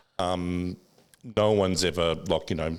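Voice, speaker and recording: A man with an Australian accent talks with a very deep, low pitch and fairly even intonation. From Australia, inner-city Sydney. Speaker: finance broker. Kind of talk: casual chat. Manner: fast.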